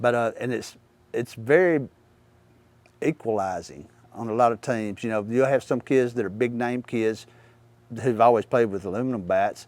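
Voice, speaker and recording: With a Mississippi accent, a man talks with ordinary pitch variation and long, frequent pauses. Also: medium pitch for a man, moderate pace. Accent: Southern US (Mississippi). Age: 60s. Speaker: baseball coach. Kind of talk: interview monologue. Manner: halting, many fillers.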